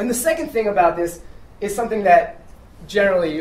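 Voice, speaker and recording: Noticeable background noise runs through this clip. The talking is very fast. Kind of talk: live storytelling performance to an audience, comedic personal anecdote. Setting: live venue with audience. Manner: casual, conversational, humorous.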